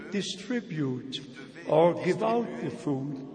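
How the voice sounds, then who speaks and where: At a very slow pace, the speaker's pitch swings very widely over noticeable background noise. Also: man. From Germany. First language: German. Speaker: traveling preacher. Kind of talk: sermon. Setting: church.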